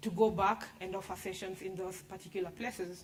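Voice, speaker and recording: There is noticeable background noise behind a woman's voice. She speaks at medium pitch and a moderate pace. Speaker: startup founder pitching. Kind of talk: business pitch and Q&A.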